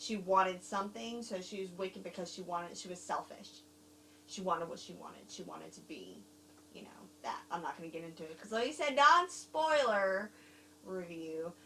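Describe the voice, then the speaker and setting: With a Southern US accent, a woman talks at a fairly quick pace with lively intonation and big swings in loudness. Noticeable background noise is present. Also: medium pitch for a woman. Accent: Southern accent, gained. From overseas, Germany and Korea. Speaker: film reviewer. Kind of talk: casual chat. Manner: halting.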